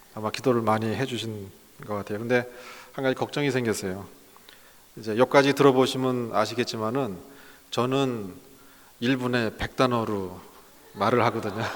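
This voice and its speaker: Against noticeable background noise, a man speaks with fairly even intonation and long, frequent pauses. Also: medium pitch for a man. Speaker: pastor, guest lecturer. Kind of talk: lecture. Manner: slow, deliberate; hesitant, many fillers.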